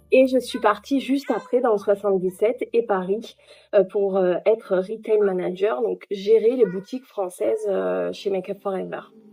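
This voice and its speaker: Her voice has a medium pitch and a dark, mellow tone as the woman speaks at a fairly slow pace with ordinary pitch variation. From southwest France. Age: 30s. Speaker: real estate agent. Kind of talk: interview. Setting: at home. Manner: hesitant, many fillers.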